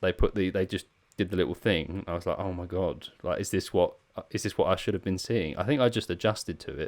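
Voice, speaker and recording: A man talks very fast. He has a slight Essex accent. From Essex, England. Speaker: pedal maker and podcast host. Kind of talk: casual chat.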